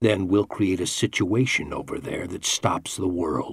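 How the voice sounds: The clip has a natural reading voice. Its intonation stays fairly even.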